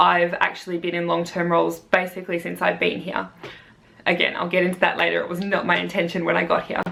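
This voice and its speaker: With noticeable background noise behind her, a woman speaks in an Australian accent. She goes at a very fast pace. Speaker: primary school teacher. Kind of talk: vlog, casual talk to camera.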